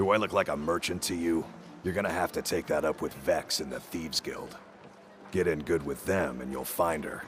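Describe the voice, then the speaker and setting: Putting on a raspy character voice, a man speaks fairly quickly at a very deep, low pitch with ordinary pitch variation, over clear background noise. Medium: video game. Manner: gruff, blunt, streetwise.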